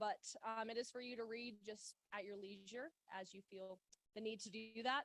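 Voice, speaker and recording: The recording of this woman's fairly high voice is dry and close, with no echo. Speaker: wildfire mitigation program coordinator. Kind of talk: presentation to a club meeting. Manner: loud.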